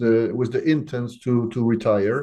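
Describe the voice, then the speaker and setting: A man speaks at a medium pitch with a dark, mellow tone. His pace is fairly slow. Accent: Polish. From Poland. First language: Polish. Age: 60s. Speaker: company CEO. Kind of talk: business interview. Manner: hesitant, many fillers.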